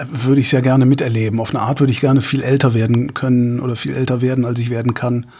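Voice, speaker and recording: A man talks at a very fast pace with hardly any pauses. His intonation is flat and monotone. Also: medium pitch for a man. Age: 50s. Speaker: podcast co-host. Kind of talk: casual chat. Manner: halting.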